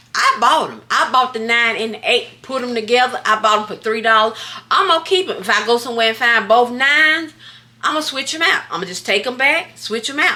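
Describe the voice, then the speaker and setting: A woman with a high pitch and an animated tone talks at a fairly quick pace with lively intonation over noticeable background noise. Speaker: thrift haul vlogger. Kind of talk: casual haul vlog.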